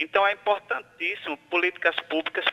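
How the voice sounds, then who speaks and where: A man is speaking. His pace is fairly slow. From Santa Rita, Paraíba, Brazil. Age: 40s. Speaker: mayoral candidate and teacher. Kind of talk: radio interview; campaign appeal to voters.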